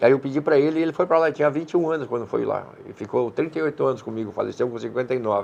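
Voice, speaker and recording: A man's fairly high voice at a very fast pace, with ordinary pitch variation and hardly any pauses. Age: 70s. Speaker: restaurant owner. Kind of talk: TV interview. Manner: hesitant, repeats words.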